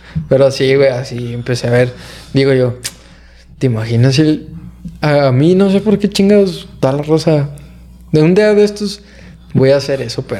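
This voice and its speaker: Noticeable background noise accompanies a man with fairly high pitch and lively intonation, speaking at a moderate pace with long, frequent pauses. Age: 20s. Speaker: podcast host. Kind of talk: casual chat.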